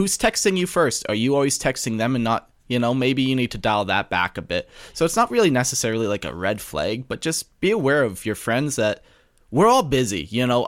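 Very clean recording, silent background, with a man speaking in a medium pitch and lively intonation. He has a normal speaking voice. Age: 30s. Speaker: podcast co-host. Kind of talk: casual chat.

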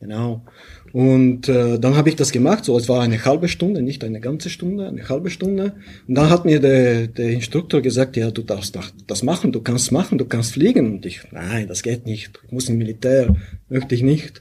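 A man speaks at medium pitch and a moderate pace, in a dark, mellow tone. His voice is somewhat breathy, with lively intonation. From Bulgaria. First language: Bulgarian (speaking German). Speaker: pilot and software founder. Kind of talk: interview.

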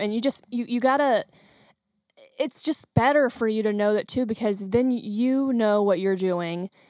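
In a very clean recording with a silent background and a dry, close sound with no echo, a woman uses a plain, everyday voice at a fairly high pitch and a moderate pace. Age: 20s. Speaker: photographer and creative business owner. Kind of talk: casual chat.

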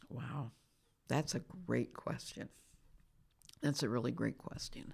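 A woman speaks at a very deep, low pitch with vocal fry. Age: 70s. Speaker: former pastor and author. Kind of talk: casual interview conversation. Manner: outspoken.

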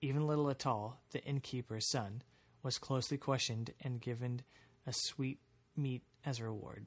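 Over a quiet background, a man speaks at a moderate pace and medium pitch. His voice is somewhat breathy, with fairly even intonation. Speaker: podcast host. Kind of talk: reading aloud an archaic gothic horror story, audiobook-style narration.

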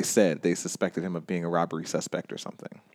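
A man with an American accent talks at a fairly quick pace in a very deep, low pitch. The recording is very clean with a silent background and a dry, close sound with no echo. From US South, Georgia (Stone Mountain near Atlanta). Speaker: anti-racist educator, writer and activist. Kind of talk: casual interview. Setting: studio.

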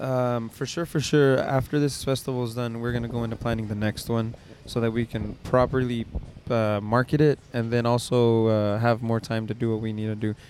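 Speaking at a fairly quick pace, a man has a plain, everyday voice, a medium pitch and fairly even intonation. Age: 30s. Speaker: podcast host. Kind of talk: casual chat.

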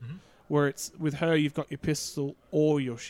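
A man with a plain, everyday voice, fairly high in pitch, at a fairly quick pace, with a dry, close sound and no echo. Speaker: podcast co-host. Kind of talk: casual banter. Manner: joking, swears a lot.

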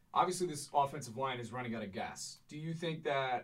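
The speaker is a man with a somewhat breathy voice. His pitch varies in an ordinary way. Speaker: sports podcast co-host. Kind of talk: casual sports analysis chat.

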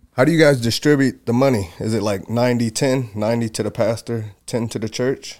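With a plain, everyday voice, a man speaks at a fairly quick pace and a medium pitch, using ordinary pitch variation and hardly any pauses. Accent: American. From Michigan. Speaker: mixed martial arts fighter. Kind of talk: casual chat.

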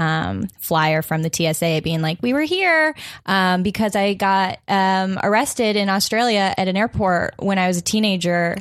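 In a plain, everyday voice, a woman speaks at a medium pitch and fairly slow pace with hardly any pauses, very even loudness and ordinary pitch variation on a very clean recording with a silent background. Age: 20s. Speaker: comedian. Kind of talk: casual chat.

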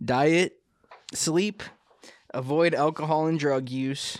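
The man speaks at a very slow pace. His pitch is fairly high, with ordinary pitch variation. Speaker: podcast co-host, military veteran. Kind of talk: casual chat.

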